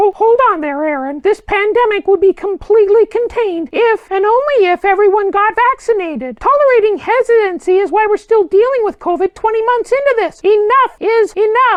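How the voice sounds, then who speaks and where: An extremely high put-on character voice. It moves at a fairly quick pace. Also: hardly any pauses. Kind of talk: satirical political interview. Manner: sarcastic, combative.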